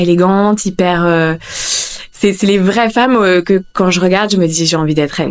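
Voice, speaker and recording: Her medium pitch and ordinary pitch variation carry along at a moderate pace as this woman speaks. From northern France, Lille. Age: 30s. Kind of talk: casual interview chat. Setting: at her home. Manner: halting, many fillers.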